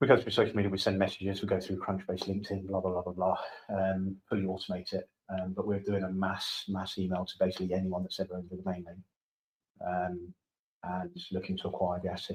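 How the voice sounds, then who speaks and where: With a British accent, a man speaks very fast in a very deep, low voice with monotone, flat intonation. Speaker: domain investor. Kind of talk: casual chat. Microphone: too quiet, far from the mic.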